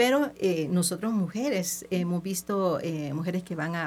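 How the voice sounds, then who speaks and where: Her pitch medium and its variation ordinary, a woman speaks at a fairly slow pace. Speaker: image consultant. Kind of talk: radio interview. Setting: radio studio.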